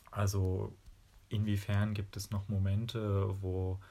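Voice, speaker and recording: A man speaks at a fairly low pitch in a flat monotone, somewhat breathy and dark, mellow in tone. The recording is very clean with a silent background. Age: 20s. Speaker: physics student and dance teacher. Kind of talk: interview.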